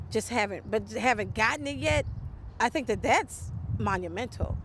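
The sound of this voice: Big pitch swings mark a woman's speech at a fairly high pitch.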